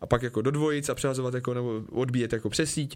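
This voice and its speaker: The pace of this man's speech is very fast. He uses a medium pitch and ordinary pitch variation. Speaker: professional soldier and former biathlete. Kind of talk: casual chat. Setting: radio studio.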